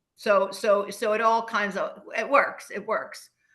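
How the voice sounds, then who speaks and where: Audible room echo surrounds a woman's fairly high-pitched voice, which has a bright, sharp tone. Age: 70s. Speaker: women's leadership advocate and entrepreneur. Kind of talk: interview conversation. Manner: animated, emphatic; halting, many repetitions.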